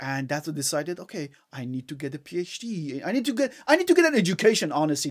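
Speaking very fast with hardly any pauses, a man with an Iranian accent uses a fairly high pitch on a very clean recording with a silent background. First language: Farsi. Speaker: engineer. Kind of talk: casual chat. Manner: halting.

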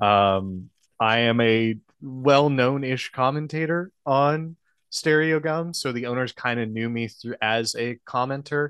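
A plain, everyday voice with an American accent moves at a fairly slow pace with ordinary pitch variation, in a dry, close sound with no echo against a quiet background. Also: man, medium pitch for a man. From Texas, Houston. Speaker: musician and podcast host. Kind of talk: casual chat.

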